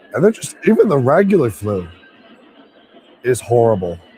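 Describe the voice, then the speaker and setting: A man's medium-pitched voice at a moderate pace over noticeable background noise. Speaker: livestreamer. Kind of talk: casual chat.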